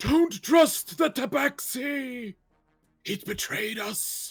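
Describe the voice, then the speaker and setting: A put-on character voice, raspy and fairly high in pitch, speaks at a very slow pace. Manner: haunting.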